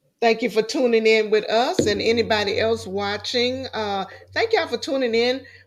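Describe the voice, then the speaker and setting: A fairly slow woman's voice at a fairly high pitch, with ordinary pitch variation, on a very clean recording with a silent background. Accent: slight Louisiana. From Louisiana. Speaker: talk show host. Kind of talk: interview. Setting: livestream. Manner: deliberately slowed speech.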